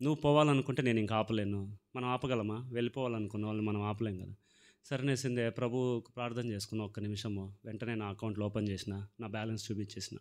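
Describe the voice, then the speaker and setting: The intonation is fairly even. The background stays quiet. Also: man. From Andhra Pradesh, Rayalaseema (Palamaner/Madanapalle); Andhra Pradesh, India. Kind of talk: testimony. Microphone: handheld.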